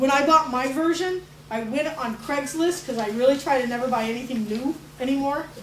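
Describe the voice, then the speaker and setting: With noticeable background noise and audible room echo, a woman speaks at a fairly quick pace in a high pitch with ordinary pitch variation. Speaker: arts educator presenting a teacher workshop. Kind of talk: workshop presentation. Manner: casual, with many fillers.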